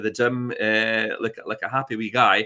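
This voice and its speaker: At a moderate pace, a man with a Scottish accent speaks at a medium pitch in a bright, sharp tone. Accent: Scottish (Ayrshire). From Scotland, Ayrshire. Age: 60s. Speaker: chat show guest. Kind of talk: casual chat. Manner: halting, many fillers and restarts.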